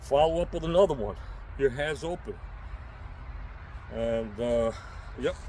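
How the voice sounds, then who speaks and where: The speaker, with an American accent, goes at a fairly slow pace with long, frequent pauses. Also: man. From New York City. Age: 60s. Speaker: self-defense instructor and prepper vlogger. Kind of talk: unscripted tutorial. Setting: outdoors. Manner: casual, emphatic.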